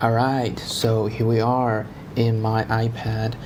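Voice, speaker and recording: Speaking at a medium pitch with a non-native accent, a man is heard amid audible room echo and noticeable background noise. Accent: non-native English speaker. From China. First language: Chinese. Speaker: tech YouTuber. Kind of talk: casual vlog intro; tutorial. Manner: halting, with fillers.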